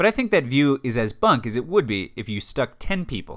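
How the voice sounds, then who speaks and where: On a very clean recording with a silent background, a man with an American accent uses an ordinary speaking voice at a fairly quick pace. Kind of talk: scripted narration.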